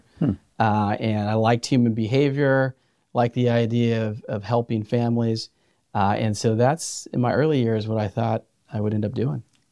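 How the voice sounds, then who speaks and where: A man's dark, mellow voice with an American accent, medium pitch and fairly even intonation, dry and close with no echo in a very clean recording with a silent background. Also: moderate pace. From Central California, San Joaquin Valley. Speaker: food bank CEO. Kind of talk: podcast interview.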